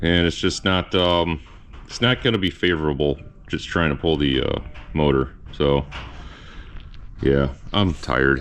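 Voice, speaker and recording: A man's very deep, low voice at a fairly slow pace, with ordinary pitch variation and long, frequent pauses. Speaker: car restoration youtuber. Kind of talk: workshop video log.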